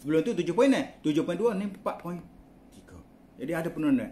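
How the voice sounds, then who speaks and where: Light background noise sits behind a man whose voice has a dark, mellow tone and a fairly high pitch. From Kelantan, Malaysia (Pasir Mas); Kelantan, Malaysia. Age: 60s. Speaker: product promoter. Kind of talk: testimonial. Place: home room. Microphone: phone near.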